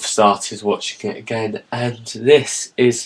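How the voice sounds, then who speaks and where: A man with a British accent talks at a very slow pace. His pitch is medium. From Britain. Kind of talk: casual talk to camera.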